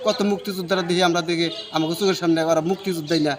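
Over noticeable background noise, a man speaks at a high pitch with ordinary pitch variation. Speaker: family member of a war veteran. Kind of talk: news interview.

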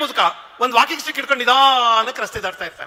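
A man speaks in a raised, projected voice. Noticeable background noise can be heard. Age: 60s. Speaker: professor and public speaker. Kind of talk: speech at a religious festival. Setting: stage with large audience.

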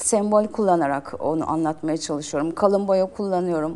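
A woman's medium-pitched voice with a dark, mellow tone, ordinary pitch variation and a moderate pace. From Turkey, İzmir. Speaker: painter. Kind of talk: interview.

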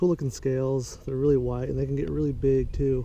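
Dry with no echo, a man's voice moves at a moderate pace over light background noise. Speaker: angler vlogger. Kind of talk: casual fishing vlog commentary. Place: waterside. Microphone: phone near.

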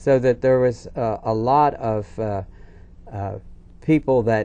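A man's dark, mellow voice at a fairly slow pace. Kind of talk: interview answer. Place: studio.

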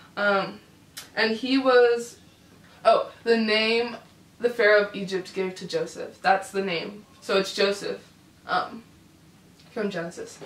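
With audible room echo, a woman speaks very slowly, pausing long and often. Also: medium pitch for a woman, ordinary pitch variation. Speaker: YouTuber host. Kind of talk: casual talk to camera. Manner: upbeat, chatty. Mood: playful, laughing. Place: home room.

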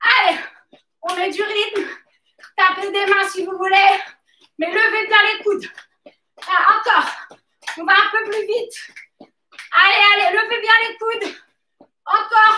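A woman with a bright, sharp tone uses a raised, projected voice at a very slow pace, with long, frequent pauses, fairly even intonation, audible room echo and light background noise. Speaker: fitness coach. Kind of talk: workout coaching instructions. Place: gym. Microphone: camera far.

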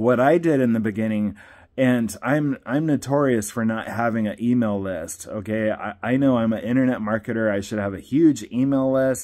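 The man's dark, mellow tone sits over a quiet background. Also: ordinary pitch variation, moderate pace. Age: 50s. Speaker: network marketing promoter. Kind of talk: vlog monologue. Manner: casual, with frequent repetitions. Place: home room. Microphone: phone near.

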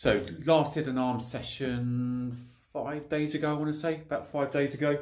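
A man talks very slowly, and the background is quiet. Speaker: home gym vlogger. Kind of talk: casual vlog chat. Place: garage. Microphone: phone near.

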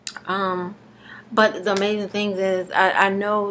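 A woman speaks in a monotone, flat intonation at a fairly slow pace, with light background noise. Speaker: vlogger doing a raw food detox challenge. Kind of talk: casual video blog, talking to camera. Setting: self-recorded video at home. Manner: halting, with many fillers and pauses; slightly slurred, struggling to get words out. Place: home room. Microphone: webcam.

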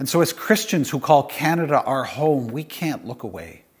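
The background is quiet while a man talks. He keeps a moderate pace with ordinary pitch variation. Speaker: pastor. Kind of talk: sermon. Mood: somber, grieving. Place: home room. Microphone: lapel.

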